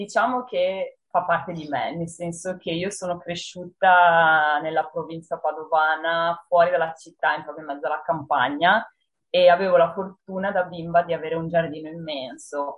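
An unremarkable speaking voice from a woman, fairly low in pitch, at a moderate pace with fairly even intonation and big swings in loudness. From northern Italy, Padua province. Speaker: horror writer. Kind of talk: interview. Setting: video call.

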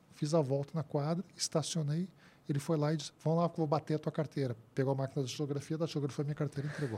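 A man talks in a fairly high, somewhat breathy voice with a dark, mellow tone. His intonation is fairly even, and the recording is very clean with a silent background. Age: 50s. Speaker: labour court expert, engineer and professor. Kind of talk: interview.

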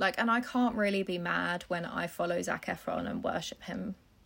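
Vocal fry in a woman's medium-pitched voice, with ordinary pitch variation and a moderate pace. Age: 20s. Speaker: podcast host. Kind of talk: casual chat. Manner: animated.

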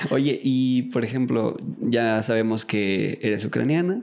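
The recording is very clean, the background silent. A man talks at a fairly slow pace. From Mexico. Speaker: podcast host. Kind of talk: interview. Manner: casual.

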